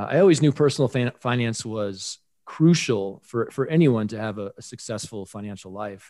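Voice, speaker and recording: A man talks at a moderate pace in an American accent, his pitch medium and his tone dark and mellow. The recording is very clean, with a silent background. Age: 40s. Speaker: high school personal finance teacher. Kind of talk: podcast interview.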